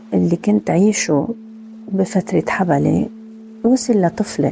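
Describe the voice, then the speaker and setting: A woman with a Lebanese accent speaks at a very slow pace. There is noticeable background noise. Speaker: meditation podcast host; former teacher. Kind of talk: personal podcast talk.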